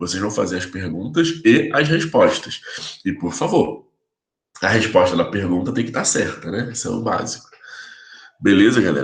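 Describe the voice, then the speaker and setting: Pitched at a medium level, a man's somewhat breathy voice moves at a moderate pace with very wide pitch swings. Long, frequent pauses break it up, and audible room echo hangs around it. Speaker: physiotherapy professor. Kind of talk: lecture. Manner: casual, informal.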